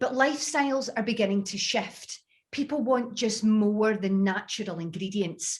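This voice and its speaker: A woman with a Scottish accent, fairly high in pitch, with ordinary pitch variation. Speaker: beauty industry speaker. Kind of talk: webinar presentation. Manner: clear, deliberately careful.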